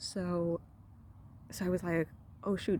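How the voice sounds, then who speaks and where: Soft-spoken woman, dark and mellow in tone, with vocal fry. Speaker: medical resident doctor. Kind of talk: casual talk to camera. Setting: outdoors. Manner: soft-spoken, low voice.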